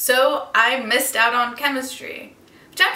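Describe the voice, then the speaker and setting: A raised, projected voice with an American accent and very wide pitch swings rings out through audible room echo and noticeable background noise. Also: woman. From Turkey, moved often (Turkey, Belgium, New York). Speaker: vlogger. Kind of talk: vlog monologue.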